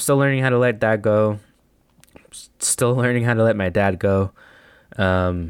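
In a very clean recording with a silent background and a dry, close sound with no echo, a man with an American accent speaks with fairly even intonation. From El Paso, Texas. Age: 20s. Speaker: podcast host. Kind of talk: solo reflective monologue. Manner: monotone, reflective.

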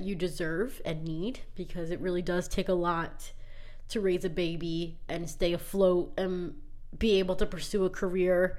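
The speech comes at a fairly slow pace with fairly even intonation. Audible room echo surrounds it. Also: woman. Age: 20s. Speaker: podcast host and middle school teacher. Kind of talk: casual monologue. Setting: alone in a closet.

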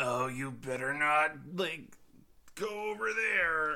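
A man puts on a character voice with a fairly high pitch. He speaks at a fairly slow pace. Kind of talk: casual surfer slang. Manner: disgruntled, laid-back.

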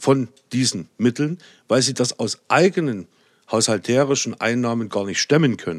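The recording is very clean with a silent background and a dry, close sound with no echo. A man speaks at medium pitch and a moderate pace. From Saxony, Erzgebirge. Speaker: politician. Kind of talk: podcast interview.

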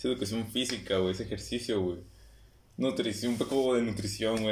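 A man with a Mexican accent, fairly low in pitch and very fast, with audible room echo. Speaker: podcast co-host. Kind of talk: casual chat. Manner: animated.

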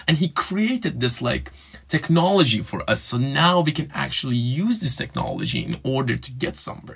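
This man has a fairly high pitch, lively intonation and audible vocal fry. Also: moderate pace. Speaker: student podcast host. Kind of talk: casual chat. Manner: hesitant, filler-heavy.

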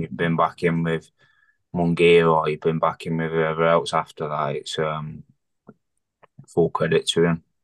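A Lancashire accent at a moderate pace, with monotone, flat intonation. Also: man. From Bolton, northern England. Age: 20s. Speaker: professional boxer. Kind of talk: casual chat. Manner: halting.

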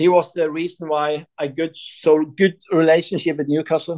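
The man speaks with a Norwegian accent at a moderate pace. His fairly high voice stays flat and monotone. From Norway, Sandnes near Stavanger. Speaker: football fan guest, shop owner. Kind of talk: interview.

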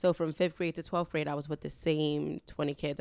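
With a New York accent and vocal fry, a woman with a very deep, low pitch speaks at a moderate pace with fairly even intonation on a very clean recording with a silent background. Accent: New York City. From Harlem, New York City. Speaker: podcast guest. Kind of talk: casual chat.

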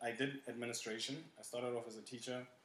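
A man's voice rings with audible room echo. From South Africa, Port Elizabeth. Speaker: teacher and school administrator. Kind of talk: casual interview.

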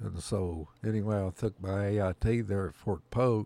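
A dark, mellow tone in a rural Oklahoma accent, fairly slow in pace, with ordinary pitch variation, on a very clean recording with a silent background. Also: man. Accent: Oklahoma rural Southern plains drawl. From Oklahoma, US. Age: 70s. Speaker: Vietnam-era army veteran, retired. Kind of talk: elder life story, folksy reminiscing interview. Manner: slow, rambling, halting with fillers.

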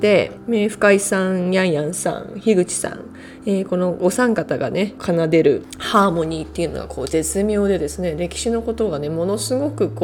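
Over noticeable background noise, a woman with a fairly low pitch talks at a moderate pace with hardly any pauses, her pitch swinging very widely. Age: 30s. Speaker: professional footballer. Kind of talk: solo podcast monologue. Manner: polite, hesitant with fillers.

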